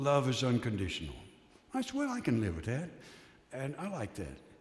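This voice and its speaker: The man's voice carries audible room echo. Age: 70s. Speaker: retired minister. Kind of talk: sermon. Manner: conversational, reflective.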